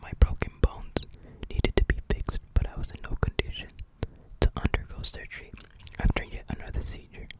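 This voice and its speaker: Whispering at a fairly quick pace, broken by long, frequent pauses, over noticeable background noise. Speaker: ASMR creator. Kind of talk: ASMR book reading.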